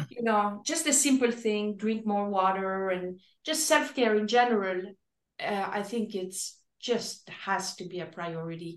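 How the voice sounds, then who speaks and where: At a fairly slow pace, this is an ordinary speaking voice with lively intonation. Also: woman, medium pitch for a woman. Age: 60s. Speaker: fitness expert. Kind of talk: casual chat.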